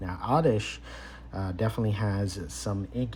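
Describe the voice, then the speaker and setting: A man speaks at a very deep, low pitch with very wide swings. Audible room echo surrounds his voice. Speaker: card collector YouTuber. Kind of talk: casual unboxing commentary. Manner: hesitant, many fillers; slow, deliberate.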